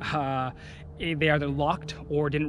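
A man talks at a moderate pace, and light background noise can be heard. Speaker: car enthusiast vlogger. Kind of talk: casual vlog chat. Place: open country. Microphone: phone near.

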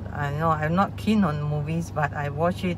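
The pace is moderate, and background noise is noticeable. The sound is dry, with no echo. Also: woman. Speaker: coach. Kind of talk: casual vlog chat. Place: car.

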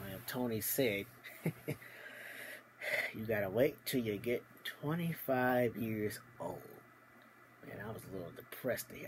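Amid light background noise, a man speaks at a fairly slow pace with long, frequent pauses. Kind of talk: casual vlog storytelling. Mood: cheerful, amused. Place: home room. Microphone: phone near.

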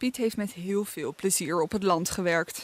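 Using a normal speaking voice at medium pitch, a woman speaks at a fairly slow pace, the sound dry and close with no echo. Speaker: local news reporter. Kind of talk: news report narration.

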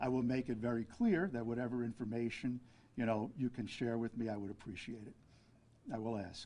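A man with a New York accent and a dark, mellow tone. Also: ordinary pitch variation, fairly quick pace. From Brooklyn, New York City; New York City. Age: 70s. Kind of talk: press conference. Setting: press conference with media. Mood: calm, earnest. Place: hall. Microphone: podium.

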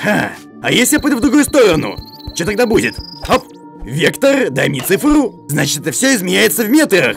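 Fairly quick and high-pitched, a man performs a cartoonish character voice with very wide pitch swings. Clear music plays in the background. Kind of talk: cartoon dub acting. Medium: fan dub. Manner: curious, excited, thinking aloud.

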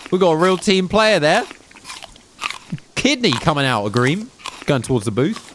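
Over noticeable background noise, the speaker moves at a moderate pace with very wide pitch swings and long, frequent pauses. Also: man, high pitch for a man. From southern England. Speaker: gaming streamer. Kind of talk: live gameplay stream chat. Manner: animated.

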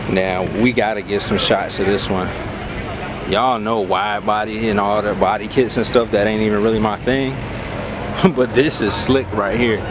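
A man speaks at a moderate pace in a dry sound with no echo, with noticeable background noise. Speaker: car vlogger. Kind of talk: casual vlog commentary. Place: street. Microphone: phone near.

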